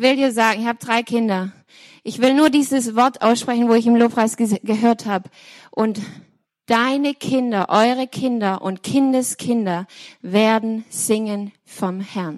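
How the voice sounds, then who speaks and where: This woman has a plain, everyday voice, pitched fairly high. Her pace is fairly slow and her intonation fairly even. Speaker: worship team member. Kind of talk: prophetic word.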